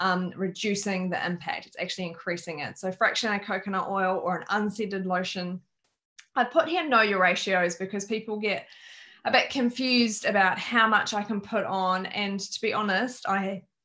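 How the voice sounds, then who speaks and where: With an Australian accent, a woman talks at a moderate pace in a medium pitch, her tone bright and sharp, her pitch varying in an ordinary way, over a quiet background. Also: big swings in loudness. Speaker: wellness educator. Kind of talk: online workshop presentation.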